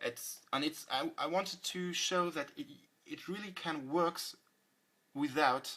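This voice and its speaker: The speech has a French accent and moves at a fairly slow pace. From France. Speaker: music producer. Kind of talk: tutorial. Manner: halting.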